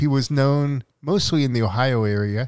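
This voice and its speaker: A man is speaking here. His pitch sits in the medium range. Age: 50s. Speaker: podcast co-host. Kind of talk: casual chat.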